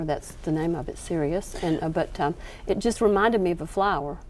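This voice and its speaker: Here a woman speaks with a Southern US accent. Her pitch is fairly low. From US South. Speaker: quilting author. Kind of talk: TV craft demonstration. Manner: hesitant, many fillers.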